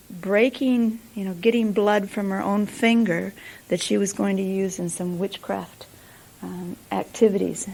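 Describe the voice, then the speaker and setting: This woman has an American accent and a dark, mellow tone. Her intonation stays fairly even. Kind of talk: teaching session.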